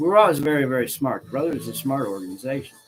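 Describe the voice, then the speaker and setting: Music sits in the background behind a man with an American accent. He talks at a medium pitch and a very fast pace. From US Midwest, northern Illinois. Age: 60s. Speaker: religious leader. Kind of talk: casual monologue. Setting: studio. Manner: many fillers (um, okay, right).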